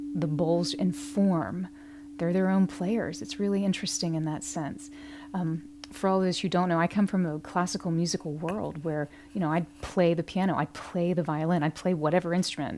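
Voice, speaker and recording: A soft-spoken woman talks with a fairly low pitch and a calm tone. Her intonation is lively. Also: moderate pace. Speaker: meditation guide and musician. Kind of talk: guided meditation talk. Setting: livestream.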